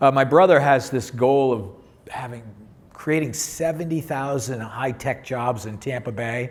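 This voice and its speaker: Delivered at a fairly slow pace, the speech has ordinary pitch variation and big swings in loudness, with audible room echo. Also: man, medium pitch for a man. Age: 60s. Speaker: tech company CEO and software founder. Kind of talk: panel discussion. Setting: stage with audience.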